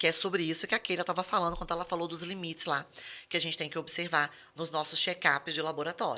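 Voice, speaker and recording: A woman speaks at a very fast pace in a bright, sharp tone. The recording is very clean, with a silent background. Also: fairly low pitch for a woman. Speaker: pharmacist podcast host. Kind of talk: casual chat. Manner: animated.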